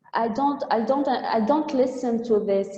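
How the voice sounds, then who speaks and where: Over noticeable background noise, a woman with an Arabic accent speaks at a fairly slow pace with fairly even intonation. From Tunisia. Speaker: trainer. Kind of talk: webinar talk. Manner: halting.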